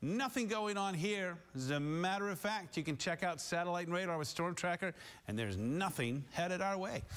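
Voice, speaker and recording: With an American accent, a man speaks at a high pitch with lively intonation. His loudness stays very even. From US Midwest. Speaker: TV meteorologist. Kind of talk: live TV weather forecast, scripted-ish broadcast delivery. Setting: TV studio. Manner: upbeat, breezy and chatty, greeting towns like old friends; brisk, rattles off temperatures and city names quickly. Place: studio.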